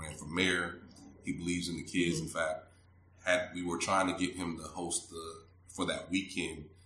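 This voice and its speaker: A man's very deep, low voice, monotone and flat, at a moderate pace with big swings in loudness and audible room echo. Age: 40s. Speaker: city manager. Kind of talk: casual interview.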